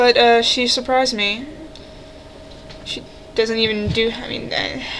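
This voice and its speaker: Noticeable noise sits in the background. The delivery is flat and monotone. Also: woman, fairly high pitch for a woman, fairly slow pace. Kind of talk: casual talk to camera. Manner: hesitant, stuttering.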